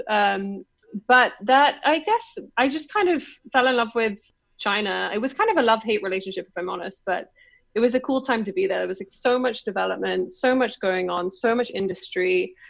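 A woman with a British accent talks at a fairly quick pace with lively intonation and a fairly high pitch, against a quiet background. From London, England. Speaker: business co-founder. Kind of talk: casual interview chat.

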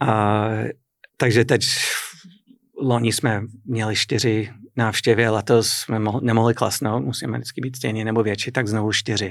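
Using an English accent, a man talks at a fairly slow pace and medium pitch, with fairly even intonation and long, frequent pauses. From US, New England (Boston area). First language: English (speaking Czech). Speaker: business owner, publisher. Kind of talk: interview.

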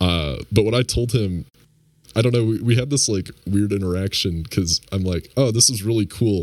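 A man speaks at a moderate pace. His pitch is fairly low, with ordinary variation. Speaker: game developer. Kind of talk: casual chat. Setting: video call.

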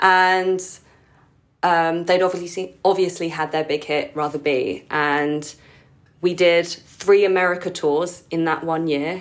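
In a London accent, a woman speaks at a fairly slow pace and fairly low pitch with fairly even intonation. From London, England (Filipino community). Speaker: keyboard player and musical director. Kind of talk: casual interview.

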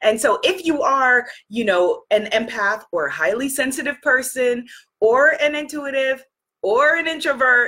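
The voice is raised and projected, bright and sharp, yet animated and warm. It moves at a fairly slow pace with lively intonation. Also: woman, high pitch for a woman. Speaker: live stream host, spiritual coach. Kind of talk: live stream talk to audience. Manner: animated, warm.

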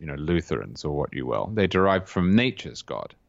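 Against a quiet background, a man with a southern English accent speaks in a very deep, low pitch. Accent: English (southern England). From England, Cambridge. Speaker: political writer. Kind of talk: interview.

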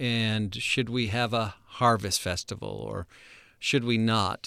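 A man with an American accent has an unremarkable speaking voice at medium pitch with fairly even intonation. The recording is very clean, with a silent background. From United States. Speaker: missions podcast host, former missionary. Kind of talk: casual chat.

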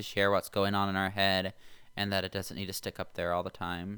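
A man with an American accent speaks in a fairly low pitch with a bright, sharp tone and monotone, flat intonation. The recording is very clean with a silent background. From Indiana. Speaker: person in addiction recovery. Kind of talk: interview.

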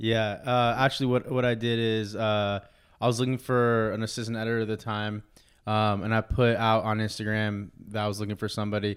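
Fairly quick and flat, a man with an American accent speaks in a fairly low monotone on a very clean recording with a silent background. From Los Angeles. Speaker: film director and editor. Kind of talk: casual chat. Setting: office.

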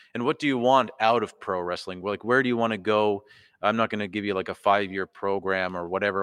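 Over a quiet background in a dry, close sound with no echo, a man with an unremarkable speaking voice talks at a fairly quick pace, his pitch fairly low and his intonation fairly even. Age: 30s. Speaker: podcast host and wrestling trainee. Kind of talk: casual chat. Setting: wrestling training hall, live stream.

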